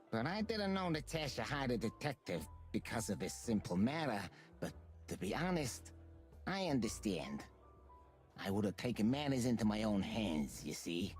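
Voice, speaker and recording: Clear music plays behind a low-pitched, put-on character voice that moves at a moderate pace with long, frequent pauses. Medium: video game. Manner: smooth, calm, guarded.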